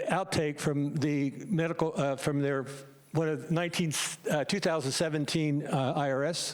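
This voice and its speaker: Noticeable background noise sits under a man speaking with an American accent. His fairly high voice moves at a moderate pace with fairly even intonation and very even loudness. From United States. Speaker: medical doctor. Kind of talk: public meeting presentation.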